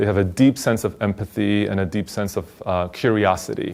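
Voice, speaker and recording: Recorded very cleanly against a silent background, a man with a Polish accent speaks in a fairly low voice with monotone, flat intonation. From Poland. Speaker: teacher. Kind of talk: interview.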